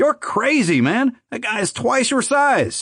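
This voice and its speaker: This man uses a put-on character voice pitched extremely high for a man. His intonation is lively and his pace fairly slow. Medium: read story. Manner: worried, quiet.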